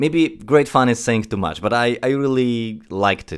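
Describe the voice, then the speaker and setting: A man with a Polish accent, at a moderate pace. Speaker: film critic podcast co-host. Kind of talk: casual film discussion. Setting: online call.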